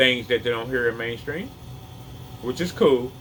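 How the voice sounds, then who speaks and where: A man talks at a medium pitch over noticeable background noise. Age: 50s. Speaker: health vlogger. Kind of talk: casual opinion vlog. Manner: halting.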